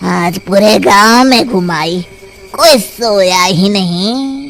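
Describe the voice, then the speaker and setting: In a cartoonish character voice at a middle pitch, the speaker goes at a very slow pace over clear background noise. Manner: cackling.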